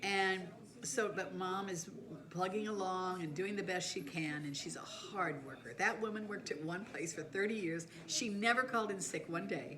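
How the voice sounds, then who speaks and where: Audible room echo and noticeable background noise accompany a woman speaking at medium pitch and moderate pace with ordinary pitch variation. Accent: American. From Southern California. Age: 70s. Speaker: life storyteller. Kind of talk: personal life story monologue. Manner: casual, conversational.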